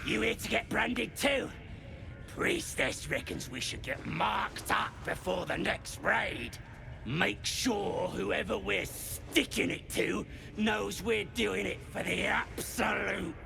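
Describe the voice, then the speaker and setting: Loud background noise sits behind a put-on character voice going at a fairly slow pace. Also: man. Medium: video game. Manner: coarse, rough.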